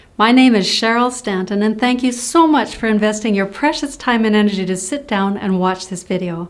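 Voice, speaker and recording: The pace here is moderate. It is an ordinary speaking voice, and its pitch variation is ordinary. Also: woman. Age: 60s. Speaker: motivational speaker and nurse. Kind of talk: scripted presentation.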